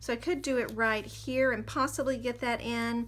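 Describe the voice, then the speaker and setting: Fairly high in pitch, a woman speaks in a normal speaking voice at a fairly quick pace with fairly even intonation. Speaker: craft tutorial creator. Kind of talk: tutorial.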